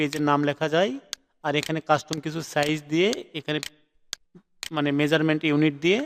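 Here is a man with a fairly high pitch and a normal speaking voice. The sound is dry and close, with no echo. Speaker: graphic design instructor. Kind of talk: live online class lecture.

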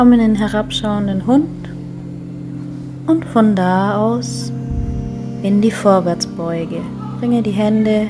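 A woman talks very slowly while music sounds clearly behind her. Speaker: yoga teacher. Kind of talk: guided yoga instruction. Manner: calm, gentle.

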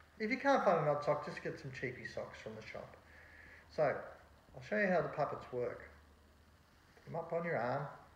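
A man at a moderate pace, with long, frequent pauses, light background noise and audible room echo. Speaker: presenter. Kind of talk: tutorial. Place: home room. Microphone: phone near.

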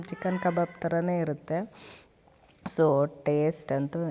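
A woman's dark, mellow voice, fairly low in pitch, with fairly even intonation. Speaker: cooking vlogger. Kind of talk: cooking tutorial voice-over. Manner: casual, chatty.

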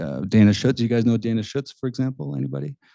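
Very fast speech with very wide pitch swings against a quiet background. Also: man, dry sound with no echo. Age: 40s. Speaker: artist and art school founder; panelist, painting teacher. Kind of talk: panel discussion. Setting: stage with audience. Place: classroom.

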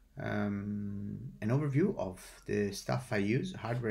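This man has a plain, everyday voice. His pitch sits fairly low and varies in an ordinary way. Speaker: DJ explaining his setup. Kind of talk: tutorial. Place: office.

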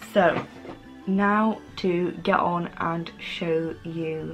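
Over clear background music, a woman with a fairly low pitch speaks very slowly and with fairly even intonation. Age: 20s. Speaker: lifestyle YouTuber. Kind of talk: casual talk to camera. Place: home room. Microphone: camera far.

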